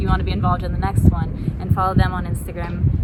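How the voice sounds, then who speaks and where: Noticeable background noise accompanies a woman speaking at a very fast pace. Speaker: YouTuber and college student. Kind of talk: casual chat.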